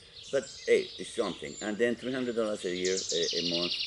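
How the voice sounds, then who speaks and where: A man, with noticeable background noise. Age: 70s. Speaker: property owner in a dispute. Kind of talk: casual chat. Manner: halting.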